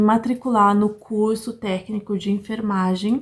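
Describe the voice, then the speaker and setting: Speaking fairly slowly, a woman has a somewhat breathy voice at a fairly high pitch. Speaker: vlogger. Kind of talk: casual vlog talk. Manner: animated.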